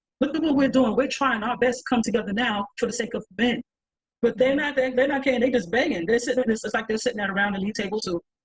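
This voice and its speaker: Her voice is high and her tone animated as this woman speaks at a very fast pace in a New York accent. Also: ordinary pitch variation. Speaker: panelist. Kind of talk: panel discussion.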